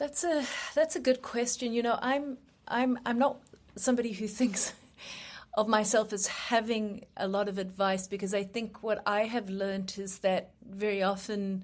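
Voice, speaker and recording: Speaking in a South African accent, a woman uses a fairly high pitch, ordinary pitch variation and a moderate pace. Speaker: human rights lawyer. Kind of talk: interview. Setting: live radio show.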